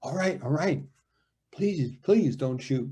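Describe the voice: Putting on a shaky character voice, a man talks at a fairly slow pace and fairly high pitch with lively intonation.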